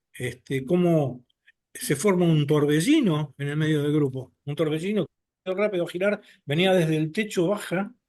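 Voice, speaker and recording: This is a man with an ordinary speaking voice and a fairly high pitch. His pitch variation is ordinary and his pace moderate. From Argentina, Buenos Aires. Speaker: abductee sharing experiences. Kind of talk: personal testimony in podcast interview.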